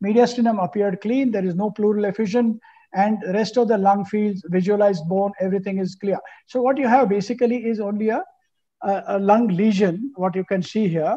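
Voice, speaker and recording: Against a quiet background, a man with a high pitch and a dark, mellow tone speaks at a fairly quick pace with fairly even intonation. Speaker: panel moderator. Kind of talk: panel discussion, case presentation. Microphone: video call.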